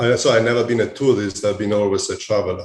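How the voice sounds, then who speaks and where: A man with an Italian accent sounds somewhat breathy at a fairly low pitch. The background is quiet. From Italy. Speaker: hospitality executive. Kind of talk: interview. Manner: halting, many fillers.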